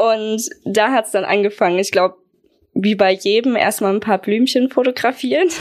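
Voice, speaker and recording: This woman has an ordinary speaking voice, fairly high in pitch, with ordinary pitch variation at a moderate pace. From Germany, Aschaffenburg (Lower Franconia). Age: 20s. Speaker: wedding photographer. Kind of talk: casual interview.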